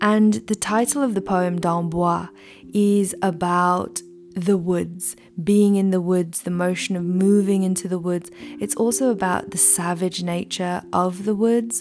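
A woman's gentle, calm tone at a fairly slow pace, fairly even intonation, and music in the background. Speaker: podcast host and meditation guide. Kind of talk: guided meditation. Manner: calm, slow, soothing; gentle, unhurried.

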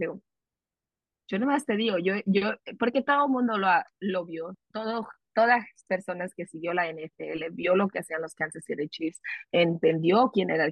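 A woman's plain, everyday voice at medium pitch, moderate pace and lively intonation. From California, US (Salinas), Mexican-American family. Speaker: sports reporter. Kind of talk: casual interview.

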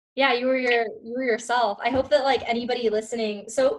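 A woman with a plain, everyday voice talks at a fairly quick pace and a fairly high pitch. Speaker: podcast co-host, student. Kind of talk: casual interview.

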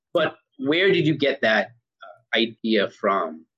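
In a dry, close sound with no echo, a man speaks in a bright, sharp tone with vocal fry and very wide pitch swings. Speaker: podcast host. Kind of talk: casual interview.

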